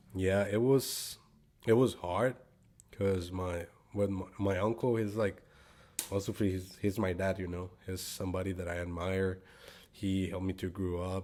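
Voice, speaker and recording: A man with a Spanish accent speaks fairly slowly in a very deep, low voice with a dark, mellow tone. His delivery is monotone and flat, with long, frequent pauses. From Guatemala. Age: 20s. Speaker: actor and singer. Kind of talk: interview. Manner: halting.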